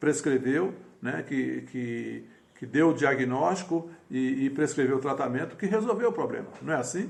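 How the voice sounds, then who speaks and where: Audible room echo surrounds a man speaking at a moderate pace. His intonation is lively, with vocal fry. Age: 60s. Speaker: pastor. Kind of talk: sermon. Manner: halting.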